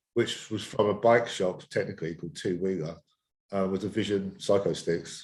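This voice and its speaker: With a British accent, a man speaks at a moderate pace, his fairly low voice carrying fairly even intonation. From Essex, England. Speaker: skateboard coach. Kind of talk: podcast interview. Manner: halting.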